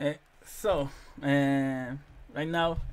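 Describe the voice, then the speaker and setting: A man with a Spanish accent speaks in a fairly high pitch. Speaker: interviewer. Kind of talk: interview. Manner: halting.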